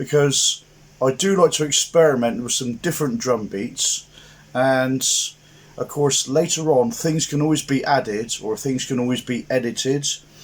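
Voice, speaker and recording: This man speaks with an English accent at a medium pitch. His pace is moderate and his pitch varies in an ordinary way. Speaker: guitar teacher. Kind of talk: tutorial.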